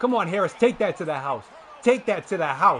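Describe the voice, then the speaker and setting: A man speaks at a moderate pace in an animated tone, his high pitch making very wide swings, with noticeable background noise. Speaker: gaming video creator. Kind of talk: gameplay commentary. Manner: loud.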